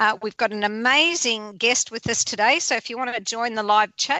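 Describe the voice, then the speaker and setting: A woman speaks in an Australian accent at a fairly high pitch with ordinary pitch variation. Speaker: radio host. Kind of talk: radio show intro; interview.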